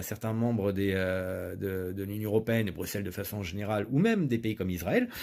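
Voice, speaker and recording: The recording is very clean and the background silent. A man speaks at a moderate speed. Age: 40s. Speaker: political candidate. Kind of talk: political speech. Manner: hesitant with frequent fillers.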